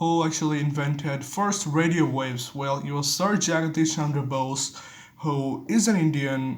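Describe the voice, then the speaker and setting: The pace is moderate, with ordinary pitch variation. Audible room echo surrounds the voice. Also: man, fairly high pitch for a man. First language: Bengali. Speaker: vlogger. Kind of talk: casual monologue. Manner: halting.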